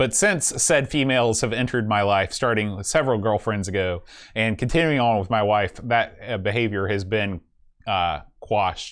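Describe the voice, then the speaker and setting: A man with an American accent and an ordinary speaking voice talks at a moderate pace against a quiet background. His pitch is fairly low, with ordinary pitch variation. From West Virginia. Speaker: podcast host. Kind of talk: casual chat.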